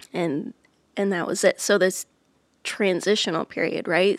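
With an ordinary speaking voice, a woman speaks at a moderate pace in a medium pitch with fairly even intonation, in a very clean recording with a silent background and a dry, close sound with no echo. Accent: American. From Iowa, US Midwest. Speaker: touring musician, former teacher. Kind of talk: casual interview chat.

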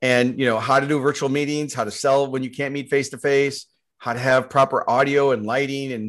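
A man talks in an unremarkable speaking voice at a medium pitch. His intonation is fairly even, and the background is quiet. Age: 60s. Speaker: marketing agency CEO and keynote speaker. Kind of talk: casual interview.

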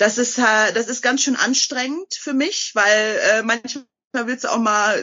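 Pitched high for a woman, her voice moves at a fairly slow pace. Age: 30s. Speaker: TV shopping presenter and author. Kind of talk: interview.

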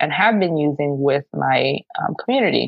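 A woman talks with a very deep, low pitch. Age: 30s. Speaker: city council candidate. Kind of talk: casual interview. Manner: hesitant, filler-heavy.

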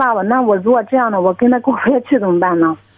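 A woman speaks very fast at a fairly high pitch, her intonation lively. Music plays behind her. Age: 20s. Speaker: caller. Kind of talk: phone-in personal problem. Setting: phone call. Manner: halting. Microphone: crackly phone line.

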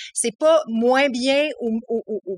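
A woman talks with a Quebec accent and ordinary pitch variation. The sound is dry and close, with no echo. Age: 30s. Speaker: author with ADHD. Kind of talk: casual interview. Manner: halting, many repetitions.

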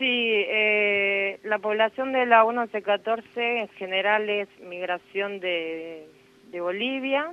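A woman's medium-pitched voice, with ordinary pitch variation, moves at a very slow pace. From Buenos Aires, Argentina. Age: 30s. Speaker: nurse. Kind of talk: interview.

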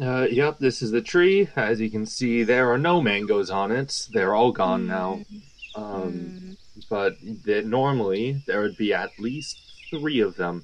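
Using a whiny, put-on character voice, a man speaks at a fairly slow pace at a medium pitch with very wide pitch swings. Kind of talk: comic improv. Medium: audio drama. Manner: nervous, whiny, hesitant.

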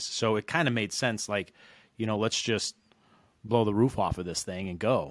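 With an American accent and ordinary pitch variation, a man talks at a fairly quick pace in an ordinary speaking voice on a very clean recording with a silent background. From Reno, Nevada. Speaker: mortgage loan originator. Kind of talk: interview.

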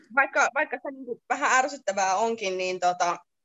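With an ordinary speaking voice, a woman talks at a moderate pace and a fairly high pitch. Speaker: nurse. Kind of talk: casual interview.

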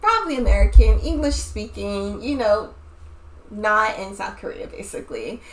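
A woman talks at a moderate speed while noticeable background noise carries on behind her. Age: 20s. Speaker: podcast host. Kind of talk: casual chat.

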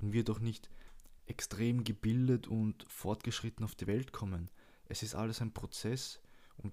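Recorded very cleanly with a silent background, a man speaks at a moderate pace in a fairly low pitch, his dark, mellow tone carrying fairly even intonation. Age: 20s. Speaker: podcast host. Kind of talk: casual monologue. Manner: casual and loose.

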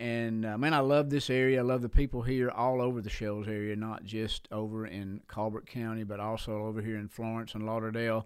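Medium-pitched male speech in an Alabama accent, moderate in pace with hardly any pauses, on a very clean recording with a silent background. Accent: Southern US (Alabama). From US South, Alabama (Sheffield). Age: 60s. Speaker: pastor. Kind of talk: casual interview chat.

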